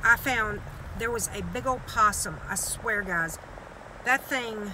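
A woman speaking fairly slowly over noticeable background noise. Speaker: vlogger driving with her dogs. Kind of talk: casual vlog chat. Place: car.

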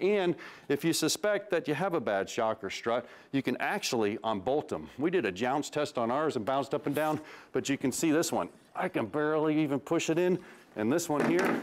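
A man at a fairly quick pace with lively intonation. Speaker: automotive TV host. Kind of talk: tutorial. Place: garage.

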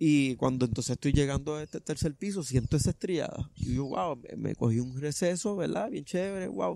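An unremarkable speaking voice from a man, fairly high in pitch, with lively intonation, a fairly quick pace, hardly any pauses and a dry sound with no echo. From Puerto Rico, Vega Baja; Puerto Rico. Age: 30s. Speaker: truck driver and trail runner; interviewee. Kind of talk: interview, personal story. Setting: outdoors in a park. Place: open country.

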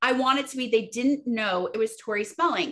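Against a quiet background, a woman speaks in a raised, projected voice at a moderate pace. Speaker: interview guest. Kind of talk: interview answer. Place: home room. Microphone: video call.

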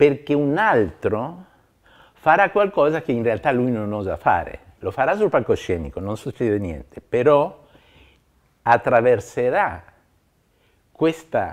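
A man's voice with very wide pitch swings, a fairly slow pace and long, frequent pauses, over a quiet background. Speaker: interviewee. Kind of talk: interview answer. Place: home room.

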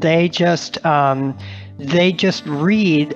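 A man is speaking. Music plays in the background. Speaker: author and journalist. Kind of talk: podcast interview answer. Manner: giggly, child-like laughter; hesitant, repeats syllables.

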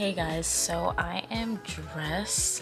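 A woman's voice with clear music in the background. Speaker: vlogger. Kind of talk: casual vlog chat. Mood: relaxed, chatty. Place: home room. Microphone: phone near.

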